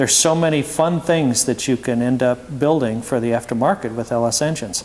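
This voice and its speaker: With an American accent, a man speaks at a fairly quick pace and medium pitch over noticeable background noise. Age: 60s. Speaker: performance car company owner. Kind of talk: Q&A presentation to students. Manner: conversational, many fillers.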